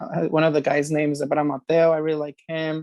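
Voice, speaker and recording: Recorded dry and close with no echo, a man with a Spanish accent talks in a monotone, flat way at a fairly high pitch. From California, Merced; Mexican heritage. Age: 20s. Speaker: singer-songwriter. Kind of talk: interview. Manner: casual, many fillers.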